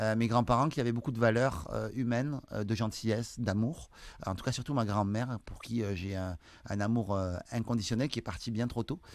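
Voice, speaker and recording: This speaker talks at a moderate pace in a Toulouse accent, with ordinary pitch variation. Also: man, medium pitch for a man. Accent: French (southern, Toulouse). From France, Toulouse countryside. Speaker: sales trainer and entrepreneur. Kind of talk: interview. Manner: hesitant, many fillers.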